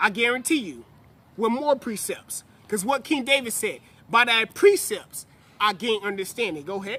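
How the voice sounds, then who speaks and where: A man's raised, projected voice, high-pitched and animated in tone, with lively intonation at a moderate pace. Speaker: religious teacher. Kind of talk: sermon. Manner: loud.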